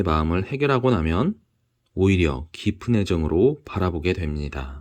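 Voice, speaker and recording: A man speaks with a very deep, low pitch and very wide pitch swings in a calm tone. The background is quiet. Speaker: audiobook reader. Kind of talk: book reading. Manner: calm, soft-spoken.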